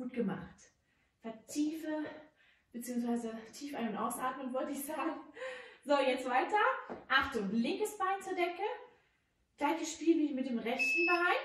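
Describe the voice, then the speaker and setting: A woman with a high voice speaks at a fairly slow pace with long, frequent pauses, in audible room echo over light background noise. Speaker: fitness instructor. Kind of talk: workout instruction. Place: gym.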